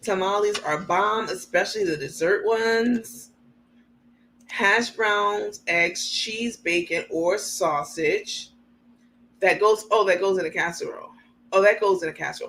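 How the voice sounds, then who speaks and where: With an American accent, a woman speaks at a fairly slow pace in an animated tone. Her pitch is medium, with ordinary variation. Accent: New York accent, comes out when angry. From New York. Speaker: livestream host. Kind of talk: casual chat reading live comments.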